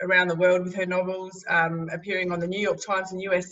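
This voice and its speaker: The speaker is a woman. Her accent is Australian. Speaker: interviewer. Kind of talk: interview. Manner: halting.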